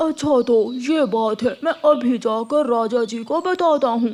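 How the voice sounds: This cartoonish character voice has a fairly high pitch. It moves at a fairly slow pace.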